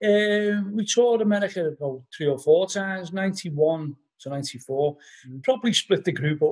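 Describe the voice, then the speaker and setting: A high-pitched man's voice with a Liverpool accent and lively intonation, over a quiet background. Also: moderate pace. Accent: Scouse (Liverpool). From Liverpool, England. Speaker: musician and author; podcast guest. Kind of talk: casual interview chat. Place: home room. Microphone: video call.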